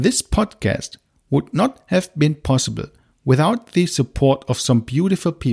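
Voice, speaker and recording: A man with a non-native accent, fairly high pitch and lively intonation, somewhat breathy, at a moderate pace with very even loudness, in a dry, close sound with no echo. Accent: non-native English speaker. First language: German. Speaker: podcast host, marketing director. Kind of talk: scripted podcast monologue.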